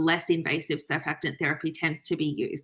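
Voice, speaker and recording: With an Australian accent, a woman speaks at a fairly low pitch and a fairly quick pace in a bright, sharp tone against a quiet background. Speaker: trainee doctor presenting. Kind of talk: online lecture presentation.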